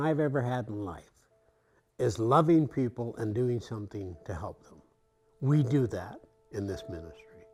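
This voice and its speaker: A man with a Canadian accent talks at a moderate pace, his pitch swinging very widely, while music plays in the background. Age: 70s. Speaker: volunteer food deliverer, retiree. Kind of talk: documentary interview.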